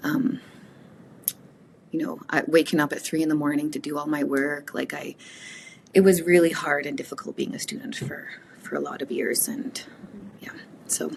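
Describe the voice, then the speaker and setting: Over noticeable background noise, a woman with a Canadian accent talks at a moderate pace, her loudness swinging widely between long, frequent pauses. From Canada, Woodland Cree reserve community. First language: Cree. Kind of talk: interview conversation.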